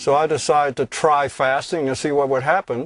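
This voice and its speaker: An ordinary speaking voice moves at a moderate pace over a quiet background. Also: man. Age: 60s. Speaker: recording studio owner and sungazer. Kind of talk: documentary interview.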